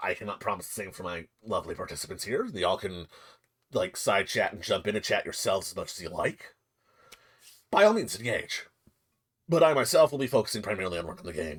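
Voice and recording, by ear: A man's put-on character voice at medium pitch, delivered at a very fast pace with long, frequent pauses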